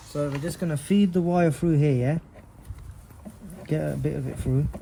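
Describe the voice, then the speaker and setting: Noticeable background noise surrounds this man's voice. His pitch is fairly high, with ordinary variation. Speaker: car modding hobbyist. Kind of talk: tutorial. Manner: fast; casual, conversational.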